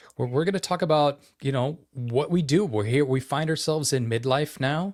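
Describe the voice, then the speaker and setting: On a very clean recording with a silent background, a man with an American accent and a fairly high pitch speaks at a moderate pace. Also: ordinary pitch variation. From Idaho. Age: 50s. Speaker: podcast co-host. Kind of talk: casual chat.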